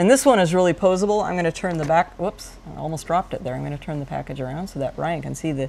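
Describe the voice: A woman's fast, low-pitched voice with ordinary pitch variation, vocal fry and a slightly mellow tone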